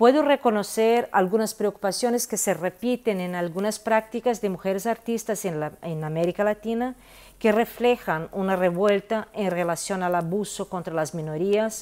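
A woman's medium-pitched voice with a Brazilian accent, at a moderate pace and with ordinary pitch variation. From Brazil, Minas Gerais (Belo Horizonte); Minas Gerais, Brazil. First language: Portuguese (speaking Spanish). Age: 50s. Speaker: visual artist. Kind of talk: interview monologue. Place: home room. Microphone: earbuds.

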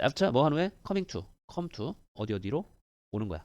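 Vocal fry runs through this man's voice as he speaks at a moderate pace with very wide pitch swings. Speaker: English teacher. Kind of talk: lecture.

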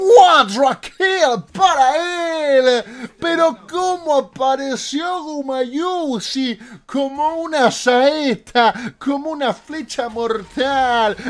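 A man talks in an animated tone. His intonation is lively. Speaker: gaming youtuber. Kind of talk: esports commentary over gameplay, casual and hyped. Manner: animated, excitable play-by-play, punchy short exclamations; fast talker, playful slang and humor.

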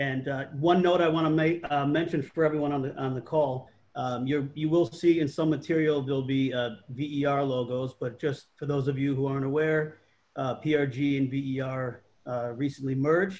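Fairly even intonation from a man talking at a moderate pace. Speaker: panel host. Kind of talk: panel introduction. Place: home room. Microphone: video call.

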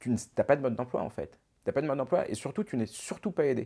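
A man speaks at a very fast pace with lively intonation. His tone is dark and mellow, and the background is quiet. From Paris suburbs, Essonne, France; France. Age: 40s. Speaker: retired businessman, father of an influencer; interview guest, father of an influencer. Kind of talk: interview. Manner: hesitant, many repetitions. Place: studio. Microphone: lapel.

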